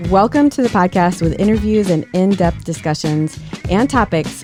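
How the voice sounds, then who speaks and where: Music plays in the background as a woman speaks. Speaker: physician and podcast host. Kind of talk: podcast intro.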